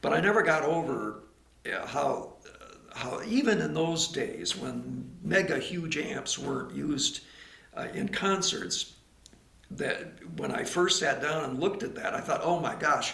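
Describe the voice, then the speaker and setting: Delivered at a fairly slow pace, the speech carries an audible room echo over noticeable background noise. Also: man. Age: 80s+. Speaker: record label founder. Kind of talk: interview. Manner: halting.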